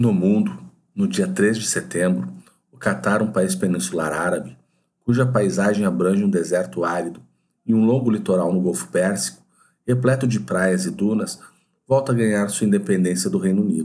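The intonation is lively and the pace moderate. Room echo is audible. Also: man, fairly low pitch for a man. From southern Brazil, Porto Alegre. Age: 40s. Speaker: podcaster. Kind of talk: scripted narration.

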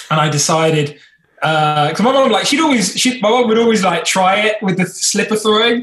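A man with an English accent and lively intonation. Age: 20s. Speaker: YouTuber, former teaching assistant. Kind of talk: casual chat.

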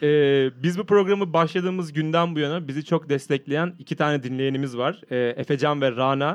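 Fairly quick, fairly high speech from a man, with ordinary pitch variation. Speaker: podcast host visiting as guest. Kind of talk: casual chat. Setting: studio. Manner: loud; talkative.

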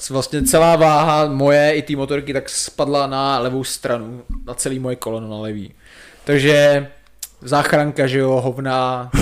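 In a plain, everyday voice, a man speaks at a moderate pace. His pitch is fairly high and his intonation fairly even. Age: 20s. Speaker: professional soldier. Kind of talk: casual chat.

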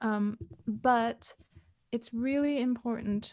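A woman is speaking. She has a Canadian accent. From Canada. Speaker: relationship coach. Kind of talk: interview. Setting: video call.

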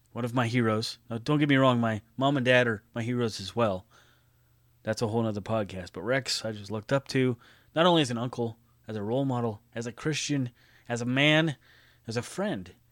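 A man with an American accent speaks at a medium pitch. He moves at a fairly quick pace with ordinary pitch variation. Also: very clean recording, silent background. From California. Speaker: podcast host. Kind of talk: memorial tribute monologue.

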